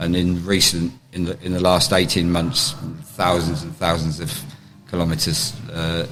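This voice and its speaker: A man with an English accent speaks at a very deep, low pitch. Noticeable background noise and audible room echo fill the recording. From England. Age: 60s. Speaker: taekwondo grandmaster. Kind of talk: interview. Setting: on location during a championship. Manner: halting.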